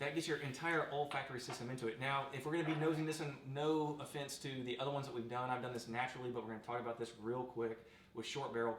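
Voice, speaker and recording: Amid noticeable background noise and audible room echo, a man races along at a very fast pace, his medium-pitched voice fairly even in intonation. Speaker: bourbon review show host. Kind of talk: casual chat.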